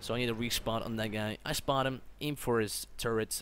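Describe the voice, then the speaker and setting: A man speaks at a medium pitch. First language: not English. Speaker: gaming youtuber. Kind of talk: gameplay commentary. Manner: casual, with fillers and self-corrections.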